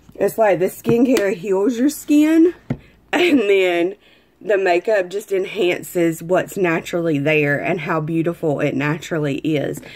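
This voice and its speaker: A woman with an American accent speaks at a fairly slow pace, her medium-pitched voice carrying lively intonation. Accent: country accent, others tease it. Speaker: makeup and skincare seller. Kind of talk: makeup tutorial. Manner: casual, chatty.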